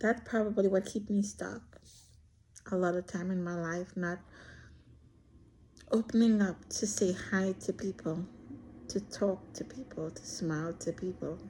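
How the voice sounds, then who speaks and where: A woman speaks at a fairly slow pace with long, frequent pauses and fairly even intonation. Her medium-pitched, somewhat breathy voice has a dark, mellow tone. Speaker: vlogger. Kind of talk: personal monologue. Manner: shy.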